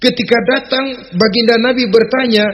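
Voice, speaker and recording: A man is talking. His pace is very slow. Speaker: Islamic preacher. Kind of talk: religious sermon. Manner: firm, well-paced oratory with humour.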